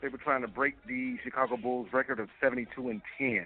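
This is a man's voice. It has a medium pitch. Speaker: sports reporter. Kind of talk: news reading.

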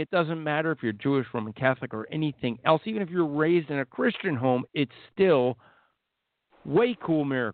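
A man at a moderate pace, his fairly high pitch moving in very wide swings. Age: 50s. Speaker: author and evangelist. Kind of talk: radio interview. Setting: remote call via Skype.

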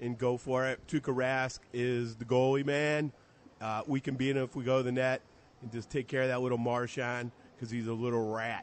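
Here a man speaks at medium pitch in a monotone. His intonation stays flat at a fairly quick pace. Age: 50s. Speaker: fan in studio audience. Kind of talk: casual chat. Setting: live remote at a grocery store.

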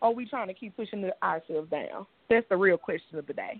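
In a Louisiana accent, this speaker talks at a very fast pace with an animated tone and very wide pitch swings. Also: woman. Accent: Southern US (Louisiana). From Shreveport, Louisiana. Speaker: R&B pop singer and dance studio owner. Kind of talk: interview. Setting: phone call. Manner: animated, laughing.

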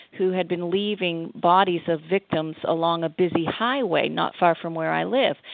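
A woman speaks in a normal speaking voice at a fairly low pitch. Her pace is moderate and her intonation fairly even. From Massachusetts. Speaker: author and attorney. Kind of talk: interview.

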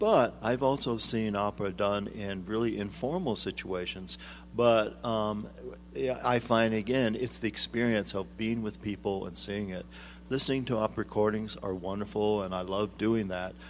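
A man speaks at a moderate pace in a plain, everyday voice, pitched fairly low. His intonation stays fairly even. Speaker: arts administrator. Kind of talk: interview. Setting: studio.

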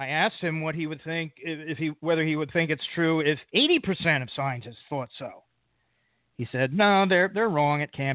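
An unremarkable speaking voice from a man with an American accent, fairly high in pitch. He talks at a moderate pace with ordinary pitch variation. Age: 50s. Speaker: podcast host. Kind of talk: podcast interview; scripted intro.

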